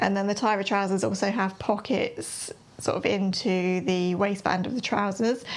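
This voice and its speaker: Over noticeable background noise, a woman with an English accent speaks at a moderate pace and medium pitch with monotone, flat intonation. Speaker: sewing and knitting vlogger. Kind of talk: casual chat.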